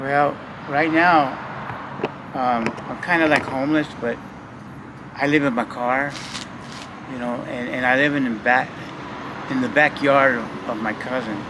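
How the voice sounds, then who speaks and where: A man speaks at a fairly slow pace with long, frequent pauses, over noticeable background noise. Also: medium pitch for a man, fairly even intonation. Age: 60s. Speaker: homeless man in a wheelchair. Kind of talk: interview answer.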